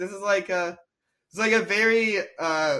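A man's raised, projected voice with an American accent, high in pitch and bright and sharp in tone, with very wide pitch swings, on a very clean recording with a silent background. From US South. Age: 20s. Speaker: comedian. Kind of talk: casual chat.

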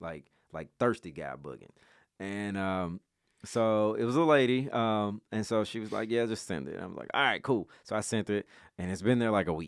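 With a Memphis accent, a man speaks at a moderate pace in a fairly low pitch with lively intonation, on a very clean recording with a silent background and a dry, close sound with no echo. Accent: Memphis Southern US. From Memphis, Tennessee. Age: 30s. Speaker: photographer and videographer. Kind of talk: casual chat.

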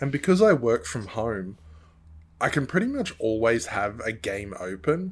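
Here a man talks with an Australian accent at a medium pitch. His pitch swings very widely. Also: very clean recording, silent background. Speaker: streamer. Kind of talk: casual chat.

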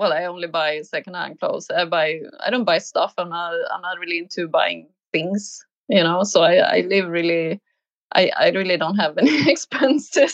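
A woman with a Swedish accent speaks in a fairly low pitch. Her pace is moderate and her pitch variation ordinary. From Sweden, small village. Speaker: painter. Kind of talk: interview. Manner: halting.

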